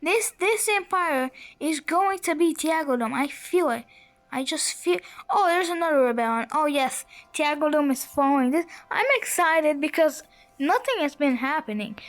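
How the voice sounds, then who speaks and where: Music plays in the background as a woman speaks. Her voice is high-pitched with lively intonation. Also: moderate pace. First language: not English. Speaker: gaming youtuber. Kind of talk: gameplay commentary. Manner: halting; animated.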